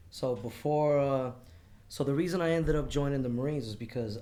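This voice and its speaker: A man with a New York accent and a dark, mellow tone at a very fast pace, with ordinary pitch variation and audible room echo. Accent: New York accent, still there. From New York City, Queens. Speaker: Marine Corps veteran, burn survivor. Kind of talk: casual podcast interview. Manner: loud, voice carries.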